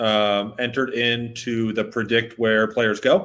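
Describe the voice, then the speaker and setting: In an American accent, a man with an unremarkable speaking voice talks at medium pitch and a fairly slow pace. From Boston. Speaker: sponsor representative filling in as co-host. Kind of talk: casual sports chat; sales pitch.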